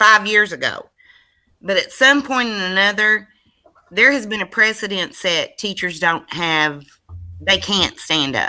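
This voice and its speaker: Using a loud, bright, sharp tone at medium pitch, a woman speaks at a fairly slow pace with lively intonation and long, frequent pauses. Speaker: school board member. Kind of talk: board meeting discussion. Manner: animated.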